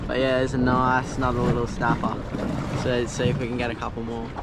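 A man talks fast at a medium pitch, his intonation monotone and flat. Background noise is clearly heard.

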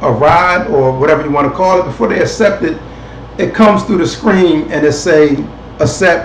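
A man with a high voice talks at a moderate pace, his pitch varying in an ordinary way. Room echo is audible, along with light background noise. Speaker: online show host. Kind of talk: casual commentary. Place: home room. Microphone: webcam.

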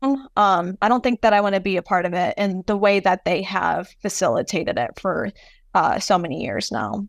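Her voice sits at a medium pitch with ordinary pitch variation and vocal fry, and this woman talks at a moderate pace in a dry, close sound with no echo against a quiet background. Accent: American. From US, first-generation Palestinian American. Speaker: artist. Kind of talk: interview conversation.

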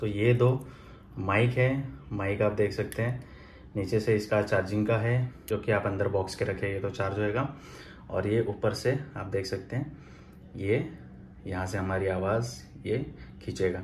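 A man's fairly low, somewhat breathy voice at a fairly slow pace, with ordinary pitch variation, long and frequent pauses, and light background noise. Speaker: product reviewer. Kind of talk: unboxing review. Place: home room. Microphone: phone near.

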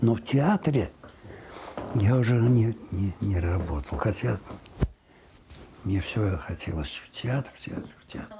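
Very slow speech with long, frequent pauses over noticeable background noise. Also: man, fairly low pitch for a man, lively intonation. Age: 80s+. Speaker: radio announcer. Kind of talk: interview answer. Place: home room. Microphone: lapel.

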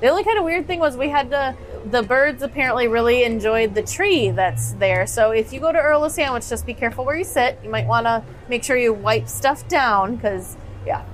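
A woman speaks at a fairly quick pace. Faint music plays in the background. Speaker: podcast co-host. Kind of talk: casual podcast chat. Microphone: studio mic.

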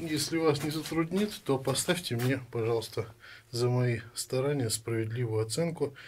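Somewhat breathy, a man talks at a fairly slow pace with ordinary pitch variation and light background noise. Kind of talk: casual tutorial narration. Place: home room. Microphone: phone near.

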